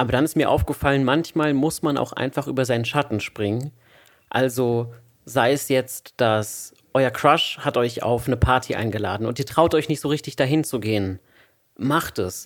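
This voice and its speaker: The man talks at a moderate pace in an unremarkable speaking voice. His medium pitch shows ordinary variation. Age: 20s. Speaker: podcast host, student. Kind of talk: casual chat.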